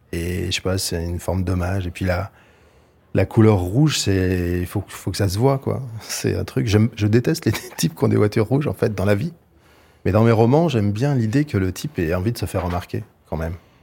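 A man talks at a fairly quick pace with lively intonation and a fairly low pitch. His tone is dark and mellow and somewhat breathy. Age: 50s. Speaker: novelist. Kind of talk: interview. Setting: studio.

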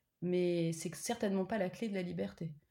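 Speaking at a moderate pace, a woman has a medium-pitched, dark and mellow tone with fairly even intonation. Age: 30s. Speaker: PhD student and mother. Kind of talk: interview, personal testimony. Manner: hesitant, many fillers.

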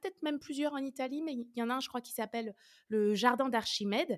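On a very clean recording with a silent background, a woman talks fairly quickly at a high pitch with ordinary pitch variation. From France, Orléans. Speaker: mathematics researcher and lecturer. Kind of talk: interview.

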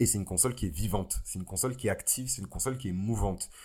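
A man's dark, mellow voice at a fairly low pitch, with lively intonation and a very fast pace. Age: 20s. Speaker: astrology podcaster. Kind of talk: solo podcast monologue. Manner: hesitant, many fillers.

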